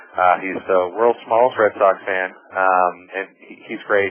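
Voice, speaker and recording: Over noticeable background noise, a man with an American accent speaks at a fairly low pitch. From US Northeast, Boston. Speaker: marketing executive, webinar presenter. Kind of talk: webinar presentation. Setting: webinar over phone line. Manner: fast; animated.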